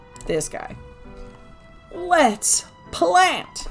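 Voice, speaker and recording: Raising and projecting her voice over music in the background, a woman swings her pitch very widely. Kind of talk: casual gameplay commentary. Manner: chatty, rambling.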